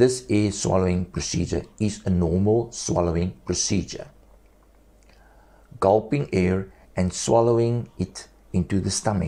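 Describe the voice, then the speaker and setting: A man talks at a fairly low pitch in a dark, mellow tone with ordinary pitch variation. His pace is fairly slow, broken by long, frequent pauses. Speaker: esophagectomy survivor speaking without vocal cords. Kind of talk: personal health testimony and instruction.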